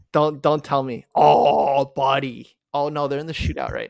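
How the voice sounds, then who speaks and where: At a fairly slow pace, a man talks. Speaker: podcast co-host. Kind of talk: casual chat.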